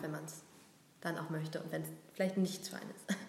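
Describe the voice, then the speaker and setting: Monotone, flat speech at a moderate pace comes through with audible room echo and noticeable background noise. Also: woman. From Berlin. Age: 30s. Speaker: business association communications head. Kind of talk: casual interview.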